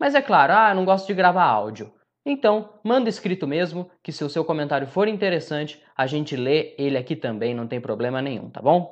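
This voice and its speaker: A man's pitch rises and falls very widely as he speaks at a moderate speed in a quiet setting. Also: fairly high pitch for a man. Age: 20s. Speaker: sports podcast host, journalist. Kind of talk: casual football discussion podcast.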